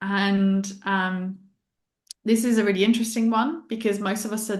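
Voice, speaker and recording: Speaking at a moderate pace, a woman has a medium pitch and a somewhat breathy sound. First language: Italian. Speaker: human design guide and mindset coach. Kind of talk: interview.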